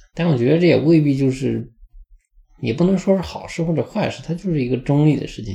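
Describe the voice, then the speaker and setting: Somewhat breathy and dark, mellow in tone, a man's voice carries the speech. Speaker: podcast host. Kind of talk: travel audio diary monologue.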